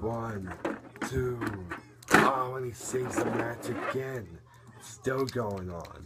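Against noticeable background noise, the speech comes at a very slow pace with long, frequent pauses. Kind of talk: live wrestling play-by-play commentary over a video game match. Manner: animated, gasping and laughing, increasingly shocked.

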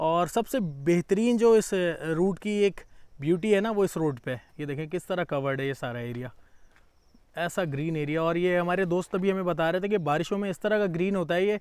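Against a quiet background, a man with a high pitch speaks at a moderate pace in a dry sound with no echo. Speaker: travel vlogger. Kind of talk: casual vlog chat. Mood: cheerful, relaxed. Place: open country. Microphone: phone near.

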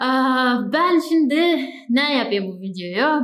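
A woman talks with a high pitch and ordinary pitch variation. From Bulgaria, Turkish minority village. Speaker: travel vlogger. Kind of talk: casual talk to camera. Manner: chatty, informal.

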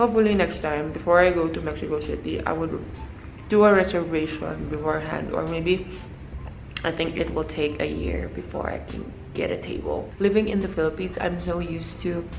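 Music plays behind a woman who speaks at a fairly quick pace. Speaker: travel vlogger. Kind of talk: casual vlog chat. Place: home room. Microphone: phone near.

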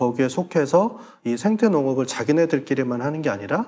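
The man's voice has a dark, mellow tone and very wide pitch swings. He talks at a moderate pace. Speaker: head of online farm-to-consumer platform; guest. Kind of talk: panel discussion. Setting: studio. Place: studio. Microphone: lapel.

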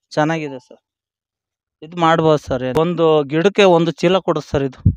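A man has an ordinary speaking voice, fairly high in pitch. The sound is dry with no echo, over a quiet background. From Hassan district, Karnataka; Karnataka, India. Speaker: tomato farmer. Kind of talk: casual field interview. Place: farm. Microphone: handheld.

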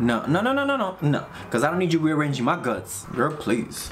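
Over noticeable background noise, a man rattles through his words at a very fast pace. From Dominican heritage. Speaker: YouTube movie reactor. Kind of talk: movie reaction commentary. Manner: animated. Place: home room.

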